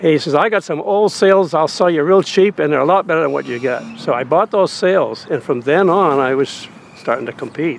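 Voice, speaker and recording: Over music in the background, the speaker moves at a moderate pace with lively intonation and hardly any pauses. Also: man, fairly high pitch for a man. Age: 80s+. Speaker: amateur sailboat racer. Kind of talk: casual reminiscing.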